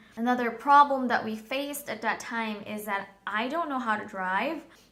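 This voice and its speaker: A woman speaks at a moderate pace with a bright, sharp tone and ordinary pitch variation. Audible room echo surrounds her voice. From Philippines. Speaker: vlogger. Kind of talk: personal storytelling vlog. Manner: hesitant, many fillers.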